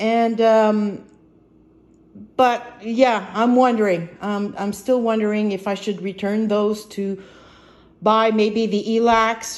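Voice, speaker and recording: The speaker is a woman with fairly high pitch. She talks at a very slow pace. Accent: French Canadian. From Quebec. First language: French. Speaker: vlogger. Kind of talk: casual vlog. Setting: home apartment. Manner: halting, many fillers.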